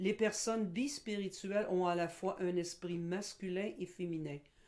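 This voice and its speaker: Using a normal speaking voice, a woman with medium pitch and ordinary pitch variation speaks at a fairly slow pace. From Quebec. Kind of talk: educational presentation. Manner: formal.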